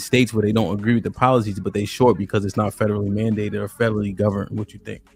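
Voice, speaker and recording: Over music in the background, a man talks in a fairly low voice. His intonation is monotone and flat. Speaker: live stream show host. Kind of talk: live panel discussion. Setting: live stream with chat. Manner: fast.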